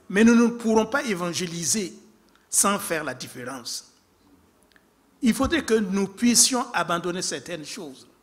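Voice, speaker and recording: A man with an African accent, high-pitched for a man, with very wide pitch swings, big swings in loudness, a fairly slow pace and long, frequent pauses, in a very clean recording with a silent background. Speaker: preacher. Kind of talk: sermon.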